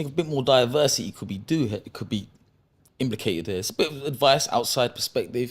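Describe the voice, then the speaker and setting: A man with a London accent speaks at a very fast pace in a medium pitch, his intonation lively. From London (Acton, West London). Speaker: professional boxer. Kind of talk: podcast interview.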